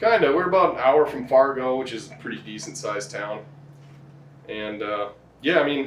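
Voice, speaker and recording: A medium-pitched man at a moderate pace with lively intonation, long, frequent pauses and big swings in loudness, over noticeable background noise. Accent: strong North Dakota. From North Dakota, US. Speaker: farmer and hunter. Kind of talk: casual chat. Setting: in-person podcast.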